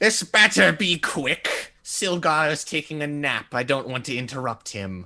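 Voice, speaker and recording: A put-on character voice with a low-to-middle pitch runs at a moderate pace with hardly any pauses. The recording is very clean, with a silent background. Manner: impatient, menacing.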